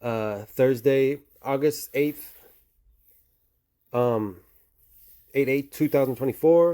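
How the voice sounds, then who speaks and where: Dark and mellow in tone, a man's voice keeps fairly even intonation in a dry, close sound with no echo, a very clean recording over a silent background. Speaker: crypto video creator. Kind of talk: casual monologue. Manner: fast.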